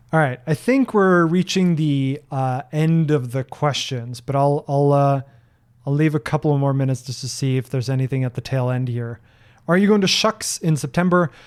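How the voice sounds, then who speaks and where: The speaker has a slight Norwegian accent and ordinary pitch variation at a moderate pace. The recording is very clean, with a silent background. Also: man. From Norway. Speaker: software developer and streamer. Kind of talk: live-stream Q&A. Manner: hesitant, with many fillers and repeats.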